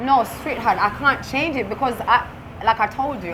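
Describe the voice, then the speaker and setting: Talking at a moderate pace, a woman is heard. Behind her runs noticeable background noise. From United Kingdom. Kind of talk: casual interview. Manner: animated.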